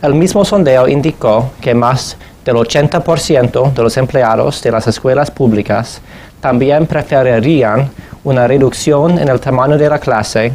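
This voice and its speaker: A man with an English accent, at a fairly slow pace and very even loudness. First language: English (speaking Spanish). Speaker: education policy researcher. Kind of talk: lecture. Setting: conference presentation in Madrid.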